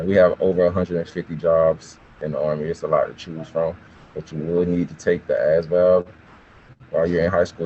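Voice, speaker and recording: His pitch is very deep and low. The man talks fairly quickly. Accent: Southern US. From US South, south Georgia small town. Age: 20s. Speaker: army recruiter. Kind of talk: informational talk to students. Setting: video call. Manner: casual.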